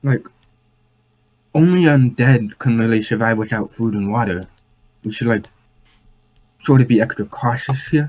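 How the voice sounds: In a quiet, breathy, put-on character voice of medium pitch, a man speaks at a moderate pace with long, frequent pauses.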